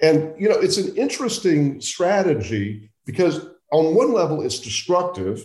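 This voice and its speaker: A man with an American accent, vocal fry and very wide pitch swings. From central Oklahoma. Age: 60s. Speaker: journalist. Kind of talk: interview.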